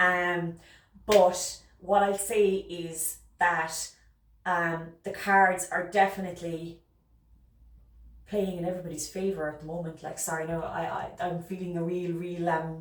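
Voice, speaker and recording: In an Irish accent, the speaker holds a monotone, flat intonation while the loudness swings widely. Audible room echo surrounds the voice. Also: woman, fairly low pitch for a woman. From Ireland. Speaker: tarot reader. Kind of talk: tarot reading monologue. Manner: fast; hesitant with fillers.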